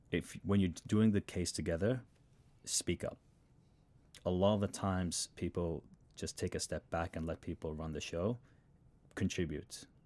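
With an Australian accent, a man speaks in a very deep, low pitch and a dark, mellow tone. The sound is dry and close with no echo, and his pauses are long and frequent. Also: very clean recording, silent background. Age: 20s. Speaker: MBA student and engineer. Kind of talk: casual chat.

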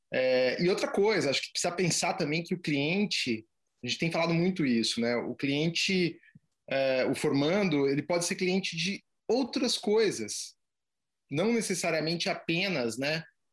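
Against a quiet background, a man speaks at a moderate pace. His pitch is high for a man and his intonation lively. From Brazil, Curitiba. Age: 40s. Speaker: photography business owner. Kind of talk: interview. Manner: halting, many repetitions.

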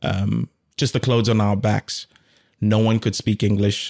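The recording is very clean, with a silent background and a dry, close sound with no echo. A man speaks at a fairly slow pace in a fairly low, dark, mellow tone with fairly even intonation. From South Africa. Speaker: artist and content creator. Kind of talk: casual chat.

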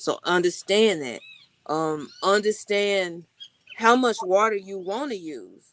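A woman with an ordinary speaking voice, medium pitch, ordinary pitch variation and an American accent. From Texas. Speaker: tree planting activist and retreat founder. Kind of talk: casual interview chat.

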